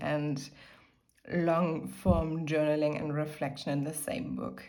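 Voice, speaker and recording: With a German accent, a woman talks at a moderate pace in a room with audible echo. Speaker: lifestyle YouTuber. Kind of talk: casual chat.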